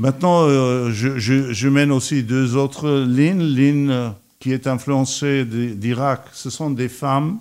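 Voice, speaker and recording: A man with an Armenian accent speaks at a very slow pace. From Iraq. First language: Armenian (speaking French). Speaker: painter and architect. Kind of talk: radio interview.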